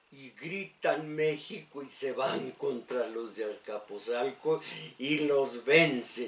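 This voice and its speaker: Over noticeable background noise and audible room echo, a man talks at a very slow pace in a fairly high pitch. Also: ordinary pitch variation, big swings in loudness. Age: old. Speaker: radio host. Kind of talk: radio talk and history lecture. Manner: halting, many fillers.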